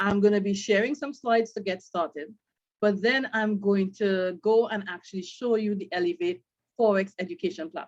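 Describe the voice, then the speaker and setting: With an ordinary speaking voice, a woman talks at a medium pitch and ordinary pitch variation. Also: moderate pace. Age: 50s. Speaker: brand ambassador presenting a trading course. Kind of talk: sales presentation.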